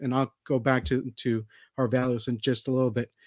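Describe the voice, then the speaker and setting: Fairly quick speech from a man with an American accent, an unremarkable speaking voice at medium pitch, dry and close with no echo. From Texas. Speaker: political candidate; physician and Army veteran. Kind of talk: campaign forum opening statement.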